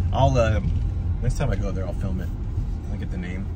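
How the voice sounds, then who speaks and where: In a dry sound with no echo, a man speaks at a fairly quick pace as loud background noise continues. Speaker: lifestyle vlogger. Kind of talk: casual conversation. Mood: relaxed, cheerful. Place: car. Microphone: phone near.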